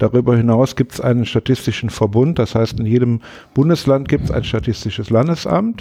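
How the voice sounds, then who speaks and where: The voice has a dark, mellow tone and ordinary pitch variation. It moves at a fairly quick pace. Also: man, medium pitch for a man. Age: 60s. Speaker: press spokesman. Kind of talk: interview. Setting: office of the agency.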